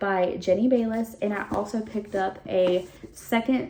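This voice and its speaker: Pitch moves in an ordinary way. The speaker is a woman. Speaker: book reviewer. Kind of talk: casual chat. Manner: animated.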